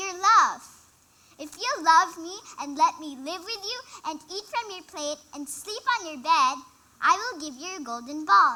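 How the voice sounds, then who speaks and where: This put-on character voice sits at an extremely high pitch. It moves at a moderate pace. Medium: stage play. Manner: polite, earnest.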